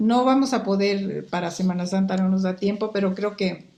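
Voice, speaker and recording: A woman with a Mexican accent, dark and mellow in tone, with fairly even intonation. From Guatemala, Quetzaltenango. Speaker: market research expert. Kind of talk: interview conversation.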